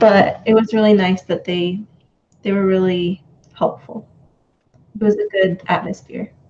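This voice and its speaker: Slow-paced and broken by long, frequent pauses, a woman's medium-pitched, somewhat breathy voice has a dark, mellow tone and a flat, monotone delivery. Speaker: student. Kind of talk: casual chat.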